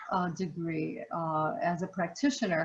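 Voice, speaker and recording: With noticeable noise behind her, the woman talks very slowly and with fairly even intonation. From US, Puerto Rican family, grew up in city projects. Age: 60s. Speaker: human services trainer and facilitator on racism. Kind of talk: interview.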